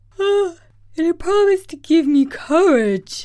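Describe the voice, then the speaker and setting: In a squeaky, put-on character voice at an extremely high pitch, the speaker goes at a moderate pace. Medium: read story.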